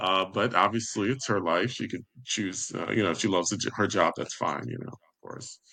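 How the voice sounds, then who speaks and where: A man with an American accent speaks in an ordinary speaking voice at a moderate pace, with hardly any pauses. His pitch is fairly low with ordinary variation, and his loudness swings a lot. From New York. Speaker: life coach, author, podcaster. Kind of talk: interview answer.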